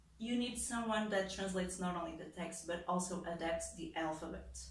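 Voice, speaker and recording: Speech at a moderate pace with ordinary pitch variation, heard over noticeable background noise and audible room echo. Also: woman. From Portugal. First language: European Portuguese. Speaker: translator and content creator. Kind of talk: explainer video monologue. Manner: casual with many fillers.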